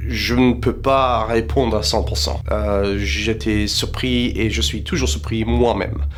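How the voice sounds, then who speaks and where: Over noticeable background noise and audible room echo, a man with an English accent and a fairly low voice talks at a very slow pace with hardly any pauses and very wide pitch swings. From South Africa. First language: English (speaking French). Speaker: paranormal investigator. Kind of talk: commentary explaining footage.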